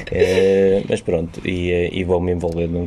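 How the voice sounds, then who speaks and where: A man with a European Portuguese accent talks fairly slowly in a very deep, low voice with monotone, flat intonation over noticeable background noise. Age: 40s. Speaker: teacher. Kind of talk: casual chat.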